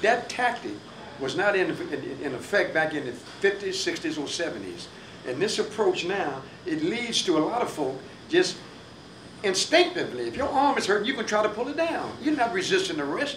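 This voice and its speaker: Pitched high and swinging very widely, a man's voice moves at a moderate pace over noticeable background noise and audible room echo. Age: 70s. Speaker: radio talk show host. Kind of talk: panel discussion.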